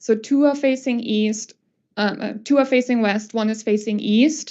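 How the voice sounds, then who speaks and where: A woman with a normal speaking voice and a fairly high pitch talks at a moderate pace, her intonation fairly even. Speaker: acoustical consultant presenter. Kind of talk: conference presentation.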